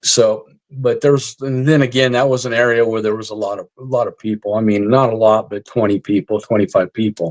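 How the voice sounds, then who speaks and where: In a normal speaking voice, a man at medium pitch talks with fairly even intonation and hardly any pauses, recorded with a dry, close sound with no echo. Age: 60s. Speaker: army veteran and retired police officer, paranormal investigator. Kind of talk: casual interview chat. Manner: casual, filler-heavy.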